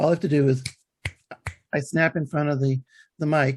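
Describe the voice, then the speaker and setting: A somewhat breathy quality marks this voice. The speaker is a man. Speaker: author and podcaster. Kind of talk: interview. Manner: halting, many fillers and restarts.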